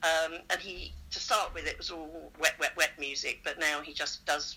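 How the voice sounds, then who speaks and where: A woman with a southern English accent. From southern England, Surrey. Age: 60s. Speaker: choir singer and charity fundraiser. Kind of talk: casual interview.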